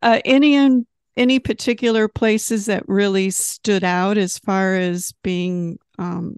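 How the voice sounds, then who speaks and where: In a normal speaking voice, a woman speaks at a medium pitch and a fairly slow pace with ordinary pitch variation, the sound dry and close with no echo against a quiet background. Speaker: magazine interviewer. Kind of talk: casual interview chat.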